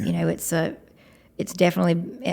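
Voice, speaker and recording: A woman with a Southern US accent talks at a fairly quick pace in a medium-pitched voice. The recording is very clean with a silent background. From Georgia, USA. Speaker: country singer and guitarist. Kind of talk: podcast interview answer.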